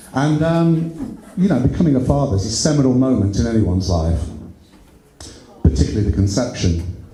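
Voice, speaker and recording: Amid noticeable background noise and audible room echo, a man speaks fairly quickly at a medium pitch with very wide pitch swings. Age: 60s. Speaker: amateur stand-up comedian. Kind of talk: stand-up. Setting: stage with audience. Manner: halting.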